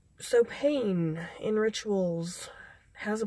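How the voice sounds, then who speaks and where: The speaker is a woman. There is some breathiness in her delivery. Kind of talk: casual talk to camera. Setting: inside a car. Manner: hesitant, many filler sounds.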